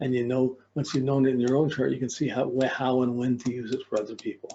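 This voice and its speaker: In a dark, mellow tone, a man speaks at a fairly quick clip. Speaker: astrology teacher. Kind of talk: lecture. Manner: fast.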